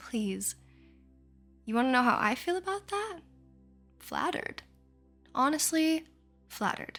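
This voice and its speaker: A woman's high voice at a fairly slow pace, with very wide pitch swings, long, frequent pauses and music in the background. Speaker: ASMR artist. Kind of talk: sleep hypnosis. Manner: soft-spoken; slow, soothing.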